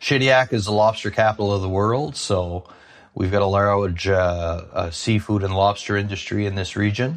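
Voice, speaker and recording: A plain, everyday voice at a moderate pace with ordinary pitch variation over a quiet background. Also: man, fairly low pitch for a man. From New Brunswick, Canada. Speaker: apple grower and former food executive. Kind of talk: interview.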